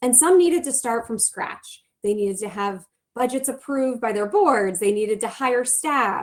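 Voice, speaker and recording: A woman talks with lively intonation at a high pitch for a woman. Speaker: nonprofit program director. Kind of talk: conference presentation. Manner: fast.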